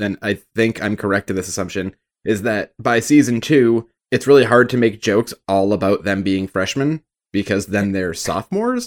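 Recorded with a dry, close sound and no echo, a man speaks in a plain, everyday voice at a fairly low pitch with ordinary pitch variation. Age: 30s. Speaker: podcast co-host. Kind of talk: casual chat.

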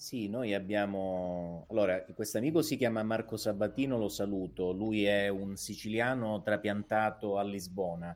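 A man with a plain, everyday voice speaks at a moderate pace and fairly low pitch, with ordinary pitch variation and hardly any pauses. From Calabria, Italy. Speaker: guest. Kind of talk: casual chat. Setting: studio.

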